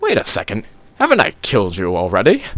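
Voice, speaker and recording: Using a put-on character voice, a man speaks at a very fast pace. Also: fairly low pitch for a man. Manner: mocking, cackling.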